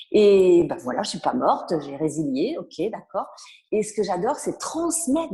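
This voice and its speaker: Somewhat breathy and dark, mellow in tone, a woman speaks at a fairly slow pace with very wide pitch swings. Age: 60s. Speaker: author and personal development speaker. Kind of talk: interview.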